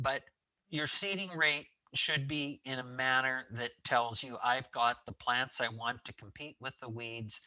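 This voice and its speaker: A man talks at a fairly slow pace with medium pitch and ordinary pitch variation. He has a plain, everyday voice. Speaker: forage specialist. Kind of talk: webinar presentation. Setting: online webinar call.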